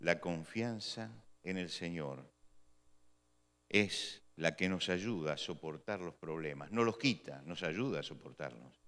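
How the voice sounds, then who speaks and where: Very deep and low, a man's voice moves at a very slow pace. His intonation is lively. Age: 60s. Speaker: pastor. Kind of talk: sermon.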